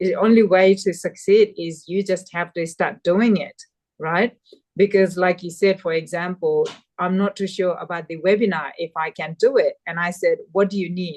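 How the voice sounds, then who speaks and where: Fairly even intonation and a Nepali accent come through at a moderate pace, the sound dry and close with no echo. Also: woman, medium pitch for a woman. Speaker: community mentor. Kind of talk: webinar conversation.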